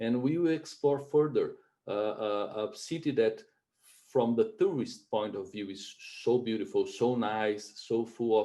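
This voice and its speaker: With a Brazilian Portuguese accent, a man speaks in a dark, mellow tone at a medium pitch. His pace is fairly slow and his pitch varies in an ordinary way. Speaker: webinar host. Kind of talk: webinar presentation. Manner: halting, many fillers.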